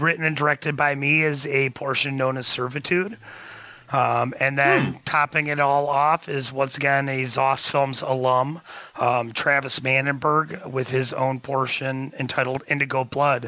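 A man has an unremarkable speaking voice with a fairly high pitch. He speaks at a fairly slow pace with fairly even intonation. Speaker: filmmaker. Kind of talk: casual chat.

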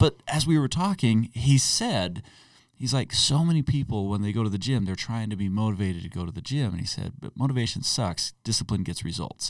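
In a very clean recording with a silent background, a man with an unremarkable speaking voice talks at medium pitch, fairly quick pace and lively intonation. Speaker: podcast co-host. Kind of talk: casual chat.

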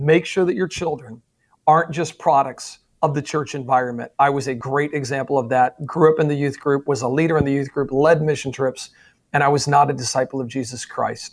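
Here is a man with a normal speaking voice, fairly high in pitch. He talks at a fairly quick pace with fairly even intonation. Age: 40s. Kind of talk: interview.

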